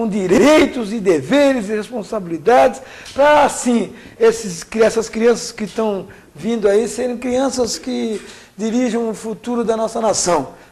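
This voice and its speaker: A man at a fairly slow pace, high in pitch, with ordinary pitch variation and noticeable background noise. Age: 60s. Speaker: trade union leader. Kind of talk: interview.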